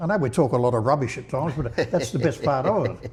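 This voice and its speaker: A man talks very fast at a medium pitch with ordinary pitch variation, and noticeable background noise runs behind him. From England. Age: 80s+. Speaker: interviewee sharing life story. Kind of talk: casual interview chat. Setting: podcast recording. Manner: halting, many repeated words.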